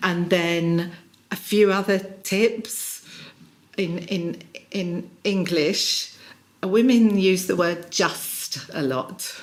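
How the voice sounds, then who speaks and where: A woman with a British accent talks at a very slow pace with long, frequent pauses, medium pitch and ordinary pitch variation, over noticeable background noise. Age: 60s. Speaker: executive coach. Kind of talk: interview. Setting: in person.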